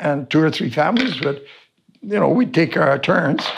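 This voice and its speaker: A man's fairly high voice with a Canadian accent, vocal fry, very wide pitch swings and a moderate pace. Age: 70s. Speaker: wilderness survival instructor. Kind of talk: interview. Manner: halting.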